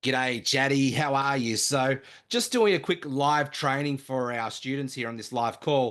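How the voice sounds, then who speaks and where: Speaking at a fairly slow pace, a man with a fairly high pitch has a strong Australian accent and ordinary pitch variation. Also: quiet background. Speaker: online marketing trainer. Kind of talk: live training webinar. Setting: live video call with screen share. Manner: enthusiastic, energetic.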